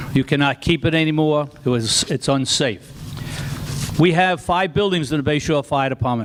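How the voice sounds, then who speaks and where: Over noticeable background noise, a man with a Long Island accent talks at a moderate pace in a fairly high pitch. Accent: Long Island New York. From Long Island, New York. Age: 70s. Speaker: retired fire chief. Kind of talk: public comment at town meeting. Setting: town board meeting.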